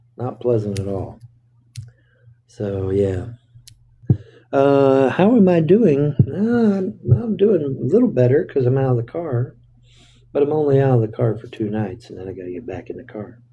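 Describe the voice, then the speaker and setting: A man with a dark, mellow tone and a somewhat breathy voice talks at a moderate pace, his pitch swinging very widely between long, frequent pauses. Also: medium pitch for a man. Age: 60s. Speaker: livestreamer. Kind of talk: casual live stream chat. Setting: motel room.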